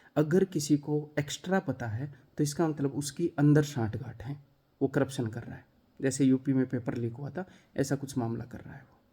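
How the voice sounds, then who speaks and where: This man's voice is somewhat breathy, with a dark, mellow tone. He talks at a moderate pace with ordinary pitch variation. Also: fairly high pitch for a man. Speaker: maths teacher for exam coaching. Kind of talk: talk to camera. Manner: animated.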